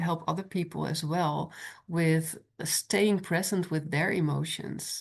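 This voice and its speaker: A woman with a non-native accent speaks at a very slow pace. Her pitch is fairly low, and the background is quiet. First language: not English. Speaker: podcast host. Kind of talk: interview.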